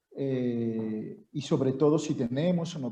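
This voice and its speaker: The man's voice has a dark, mellow tone, somewhat breathy and fairly high in pitch, with ordinary pitch variation. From Venezuela. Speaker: university professor. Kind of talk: seminar introduction.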